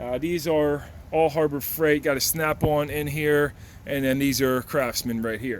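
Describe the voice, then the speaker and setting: A man with a plain, everyday voice, a fairly high pitch, fairly even intonation and a fairly slow pace. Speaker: auto mechanic. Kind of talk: tool tour tutorial.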